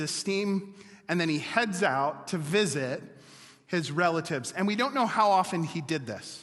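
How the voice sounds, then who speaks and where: There is audible room echo as a man speaks at a moderate pace. His voice is high in pitch, with ordinary pitch variation. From Wisconsin. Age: 40s. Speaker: pastor. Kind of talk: sermon.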